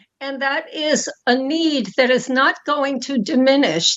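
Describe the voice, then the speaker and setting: A woman's high-pitched voice with a New York accent. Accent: New York American. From US, New York City. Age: 90s. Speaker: foundation founder and donor. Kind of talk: interview. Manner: halting.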